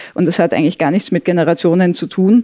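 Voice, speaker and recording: A woman with a fairly low pitch uses a plain, everyday voice and fairly even intonation. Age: 30s. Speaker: sociologist. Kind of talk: conversational interview.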